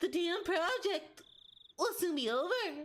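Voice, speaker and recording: Putting on a squeaky character voice at an extremely high pitch, a woman speaks at a fairly slow pace with lively intonation. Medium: virtual streamer. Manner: measured, analytical.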